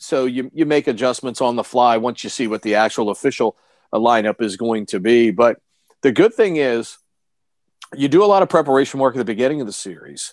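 A man's normal speaking voice at a fairly quick pace, dry and close with no echo over a quiet background. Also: medium pitch for a man, ordinary pitch variation. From Washington DC area, Maryland. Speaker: sports radio broadcaster. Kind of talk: casual interview. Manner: fluent, with frequent filler words.

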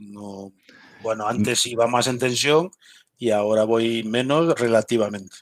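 An unremarkable speaking voice at a fairly slow pace with ordinary pitch variation. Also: man, medium pitch for a man. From Galicia, Spain. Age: 50s. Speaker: military intelligence veteran and security consultant. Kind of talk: interview.

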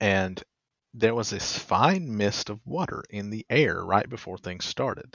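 A man's normal speaking voice, fairly low-pitched and fairly slow, with ordinary pitch variation and big swings in loudness. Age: 30s. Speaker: podcast host. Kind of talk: interview.

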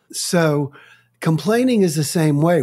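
On a very clean recording with a silent background, a man speaks with lively intonation. His voice is somewhat breathy, with a dark, mellow tone. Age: 60s. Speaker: author and speaker on complaining. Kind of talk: interview.

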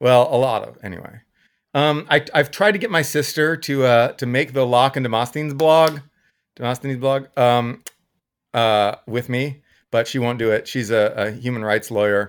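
A man with an American accent, an ordinary speaking voice, medium pitch and ordinary pitch variation, at a moderate pace, in a very clean recording with a silent background. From Texas. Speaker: economist and blogger. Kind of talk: casual interview.

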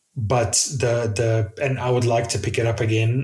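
Echo from the room is audible as a man talks in a mid-range pitch. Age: 40s. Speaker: software developer. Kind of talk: casual chat.

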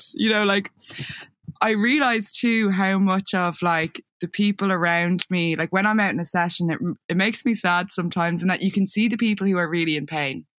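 A woman with an Irish accent speaks fairly quickly in a medium pitch, her loudness very even and her pitch variation ordinary. The sound is dry and close, with no echo. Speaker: photographer and videographer. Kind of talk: casual interview chat.

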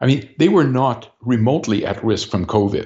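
Here is a man with an ordinary speaking voice. His pitch is medium and his pace moderate. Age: 60s. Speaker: political party leader. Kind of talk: interview.

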